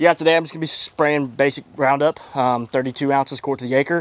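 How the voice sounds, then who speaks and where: A man talks in a monotone, flat intonation. The recording is dry with no echo. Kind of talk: casual vlog chat. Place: farm machine. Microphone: handheld.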